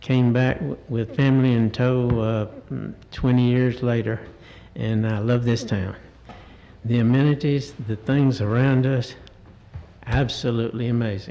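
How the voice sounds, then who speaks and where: Amid noticeable background noise and audible room echo, a man at medium pitch speaks fairly slowly with fairly even intonation and long, frequent pauses. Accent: Southern US. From US South, Cartersville, Georgia. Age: 70s. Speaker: resident making public comment. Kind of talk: public comment at council meeting. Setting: council chamber at microphone. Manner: halting.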